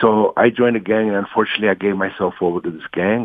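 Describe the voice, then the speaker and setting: With an American accent, a man talks at a very fast pace. His pitch is very deep and low. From Los Angeles (Watts, East LA). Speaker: poet. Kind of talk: radio interview.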